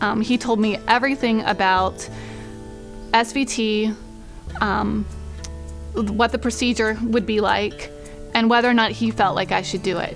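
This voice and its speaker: Over music in the background, the speaker keeps a moderate pace and fairly even intonation, with long, frequent pauses. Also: woman, fairly high pitch for a woman. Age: 30s. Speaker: heart patient. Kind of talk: interview answer.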